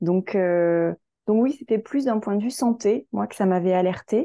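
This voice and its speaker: Over a quiet background, a woman speaks very slowly in a dark, mellow tone with ordinary pitch variation, the sound dry and close with no echo. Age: 40s. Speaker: marketing agency founder. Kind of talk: interview. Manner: halting.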